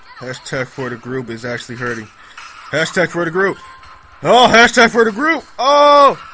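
A high-pitched man speaks with very wide pitch swings, big swings in loudness and long, frequent pauses, with noticeable background noise behind him. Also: moderate pace. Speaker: gaming YouTuber. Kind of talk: angry gamer rant during live gameplay commentary, cursing at lag and enemies. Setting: screen recording gameplay commentary. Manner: loud, exasperated, swearing and exclaiming in bursts; excitable, erratic, shouting short interjections.

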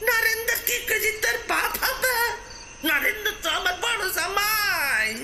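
Loud background noise runs under a put-on character voice that moves at a fairly slow pace. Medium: read story. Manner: cursing, quarrelsome.

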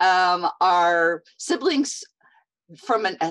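Her pitch swinging very widely, a woman speaks against a quiet background. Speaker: podcast host. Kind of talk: interview intro. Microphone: earbuds.

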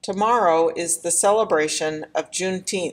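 In a very clean recording with a silent background, a woman with a normal speaking voice talks at a moderate pace and a medium pitch, with ordinary pitch variation. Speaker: church announcer introducing the blessing poem. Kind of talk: formal announcement, reading aloud.

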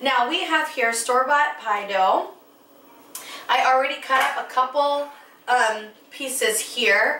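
A woman speaks in a raised, projected voice with ordinary pitch variation. Her pace is fairly slow, and the room echoes audibly. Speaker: cooking show host. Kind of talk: tutorial. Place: kitchen.

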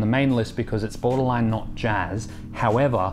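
A man speaks at a moderate pace with fairly even intonation while clear music plays in the background. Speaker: jazz history video host. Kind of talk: educational commentary. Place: home room.

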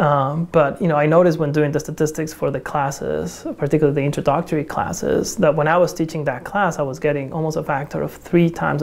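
A woman with a Spanish accent, very deep and low in pitch, at a very fast pace with fairly even intonation. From Mexico. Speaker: astronomy department chair. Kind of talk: documentary interview. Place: classroom.

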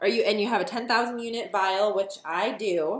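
Audible room echo surrounds a woman as she speaks. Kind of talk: casual vlog tutorial. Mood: nervous but upbeat. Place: kitchen. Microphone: phone near.

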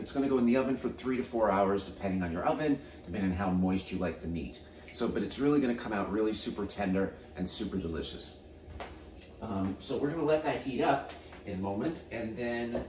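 Talking at a very fast pace, a man with a fairly low voice is heard over light background noise and audible room echo. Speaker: home cook host. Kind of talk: cooking tutorial. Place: kitchen.

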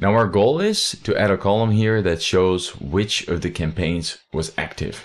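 Over a quiet background, a man with a plain, everyday voice speaks at a fairly slow pace, his fairly low pitch carrying ordinary pitch variation. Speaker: software tutorial creator. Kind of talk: tutorial. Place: home room. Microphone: studio mic.

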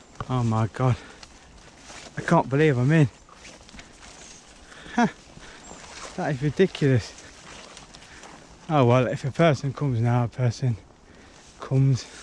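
A man talks at a moderate pace with ordinary pitch variation and long, frequent pauses, over light background noise. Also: dry sound with no echo. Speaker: urban explorer vlogger. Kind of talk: casual vlog commentary. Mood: excited, amazed. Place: open country. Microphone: phone near.

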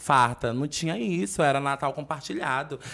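A man's voice at medium pitch. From Fortaleza, Ceará, Brazil; Ceará, Brazil. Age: 20s. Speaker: internet personality; podcast guest. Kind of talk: casual chat. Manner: animated. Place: studio. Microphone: studio mic.

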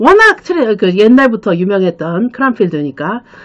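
A woman is speaking. Her intonation is lively. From South Korea. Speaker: study-abroad consultant and channel host. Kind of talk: solo explainer video, casual talk to camera. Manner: filler-heavy, conversational with frequent 그렇죠. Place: office. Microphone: webcam.

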